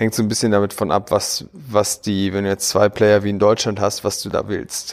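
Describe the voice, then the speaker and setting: This man's voice sits at a fairly low pitch. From Berlin, Germany. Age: 30s. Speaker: tech entrepreneur. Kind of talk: podcast interview. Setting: in person in Berlin.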